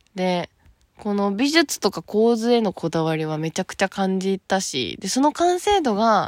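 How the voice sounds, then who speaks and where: A woman's animated voice with very wide pitch swings, dry and close with no echo, on a very clean recording against a silent background. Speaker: solo podcaster. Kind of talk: casual monologue.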